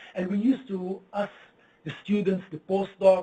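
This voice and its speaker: A man with a non-native accent speaks at a moderate pace in a high pitch with a dark, mellow tone. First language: not English. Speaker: physicist. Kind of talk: lecture. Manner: halting.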